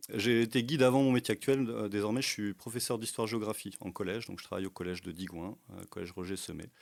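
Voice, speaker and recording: A man with a fairly low pitch talks at a very fast pace with hardly any pauses. His loudness swings widely. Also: ordinary pitch variation. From France, Burgundy (Brionnais). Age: 40s. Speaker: tour guide and history teacher. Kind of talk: podcast interview. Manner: hesitant, many fillers.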